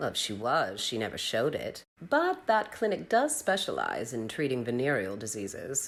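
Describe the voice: Using a put-on character voice, a woman speaks at an extremely low pitch with very wide pitch swings and a moderate pace.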